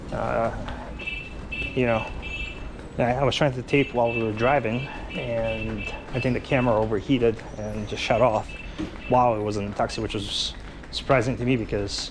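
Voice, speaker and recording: A man's speech with long, frequent pauses, audible room echo and noticeable background noise. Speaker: travel vlogger. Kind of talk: casual walking vlog narration. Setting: outdoors, street market. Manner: fast; hesitant, many fillers.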